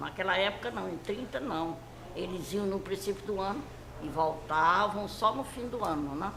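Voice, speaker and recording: A woman's medium-pitched voice with lively intonation, at a moderate pace, amid noticeable background noise and audible room echo. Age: 80s+. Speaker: elderly interviewee recalling her life. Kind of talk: interview.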